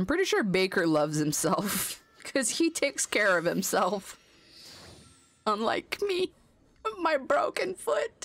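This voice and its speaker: Speaking at a fairly slow pace with long, frequent pauses, a fairly high-pitched woman keeps her loudness very even while her pitch swings very widely. Noticeable background noise can be heard. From French Canada. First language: French. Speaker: video game streamer. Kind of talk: casual chat.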